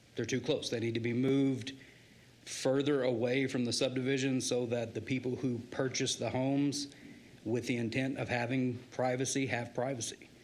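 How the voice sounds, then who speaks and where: In an American accent, a man speaks at medium pitch and a moderate pace, monotone and flat, at very even loudness, with audible room echo. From Idaho, Nampa area. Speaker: resident giving public testimony. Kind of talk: public comment testimony. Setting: city council meeting.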